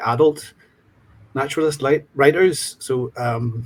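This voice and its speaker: With a Northern Irish accent, a man talks at medium pitch, somewhat breathy, with fairly even intonation. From Northern Ireland, County Fermanagh. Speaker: literature student. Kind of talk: panel discussion.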